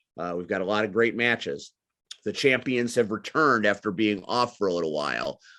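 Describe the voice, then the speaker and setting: The background is quiet. A man speaks at a fairly low pitch with ordinary pitch variation. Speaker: wrestling commentator and manager. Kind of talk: interview. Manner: loud; animated.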